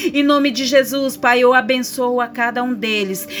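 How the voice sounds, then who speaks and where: A woman with a high pitch speaks at a fairly slow pace, with noticeable background noise and audible room echo. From Brazil, Goiás. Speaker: evangelical preacher. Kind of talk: sermon. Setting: radio program.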